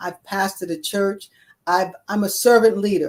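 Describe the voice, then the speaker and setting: An ordinary speaking voice is heard. The pace is moderate. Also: woman. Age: 60s. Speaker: retired court reporter and ordained clergy, wellness coach. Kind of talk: interview conversation.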